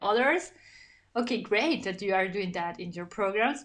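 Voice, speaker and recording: A woman in a Spanish accent against a quiet background. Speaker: podcast host and cosmetics founder. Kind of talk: interview. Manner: halting.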